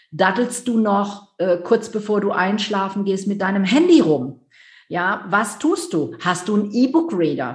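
Somewhat breathy, a woman talks at a fairly slow pace and a medium pitch, with very wide pitch swings. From Rhineland, near Düsseldorf, Germany. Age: 50s. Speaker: business coach. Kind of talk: interview.

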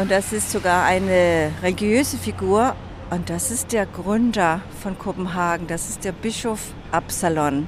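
A woman speaks with a Danish accent at a medium pitch and ordinary pitch variation. She talks at a fairly slow pace over noticeable background noise. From Denmark, Copenhagen. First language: Danish (speaking German). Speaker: tour guide. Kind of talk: guided city tour. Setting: outdoors in the city. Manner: hesitant, many fillers.

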